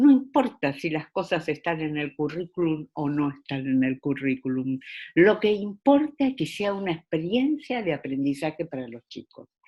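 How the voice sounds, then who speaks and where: Pitched very deep and low, a woman speaks at a moderate pace with an Argentine accent. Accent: Argentine Spanish (Rioplatense). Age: 70s. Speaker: education specialist. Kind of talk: interview. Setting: video call. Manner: hesitant, many fillers.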